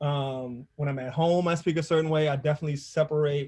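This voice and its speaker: With monotone, flat intonation, a somewhat breathy man with a fairly high pitch speaks at a moderate pace. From Washington DC area. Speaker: game developer, panelist. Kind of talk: panel discussion. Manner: casual, hesitant with many fillers.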